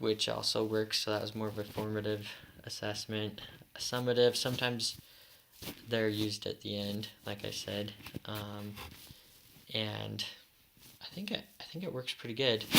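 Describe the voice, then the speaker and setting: A moderate pace broken by long, frequent pauses. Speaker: education student. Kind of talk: class presentation. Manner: halting.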